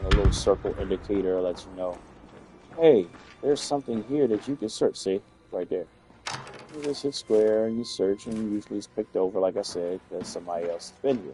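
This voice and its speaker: With music in the background, a man with an American accent talks at a fairly quick pace and a fairly low pitch, showing ordinary pitch variation and big swings in loudness. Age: old. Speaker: gamer and streamer. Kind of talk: gameplay commentary. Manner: casual, conversational.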